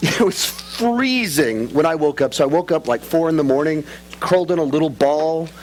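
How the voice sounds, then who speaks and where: Moderate-paced speech from a man with a fairly high pitch, noticeable background noise behind it. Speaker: preacher. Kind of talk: sermon with humorous asides. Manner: conversational, humorous.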